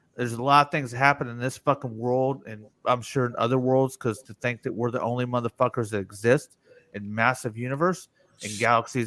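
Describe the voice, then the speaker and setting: With an American accent and an unremarkable speaking voice, a medium-pitched man talks at a fairly quick pace with fairly even intonation and big swings in loudness, in a dry, close sound with no echo. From US, mixed (north, south, west). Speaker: live-stream show host. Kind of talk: casual chat. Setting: live stream.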